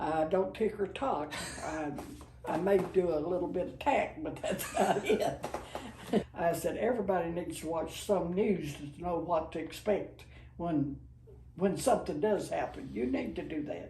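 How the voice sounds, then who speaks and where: Over noticeable background noise and audible room echo, a woman with a fairly low pitch speaks at a moderate pace. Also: ordinary pitch variation. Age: 80s+. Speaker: grandmother sharing life advice. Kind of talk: casual chat.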